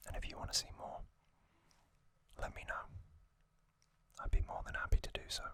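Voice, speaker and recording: Whispered speech comes at a very fast pace, broken by long, frequent pauses. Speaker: ASMR youtuber. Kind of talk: ASMR whispered narration. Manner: whispering; soft-spoken.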